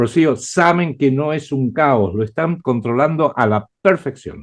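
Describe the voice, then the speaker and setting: Lively intonation runs through this man's fairly high voice, in an Argentine accent. He speaks at a fairly slow pace. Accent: Argentine Spanish (Rioplatense). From Argentina. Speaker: writer and geopolitical analyst. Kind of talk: interview. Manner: hesitant with frequent fillers.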